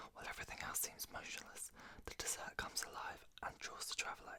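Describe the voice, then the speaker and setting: A man whispering at a fairly quick pace, with a British accent. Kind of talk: reading aloud product description. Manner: whispered.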